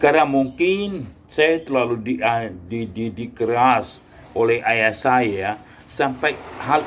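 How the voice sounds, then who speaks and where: Against noticeable background noise, a man talks at a very slow pace with lively intonation. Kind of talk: casual talk to camera.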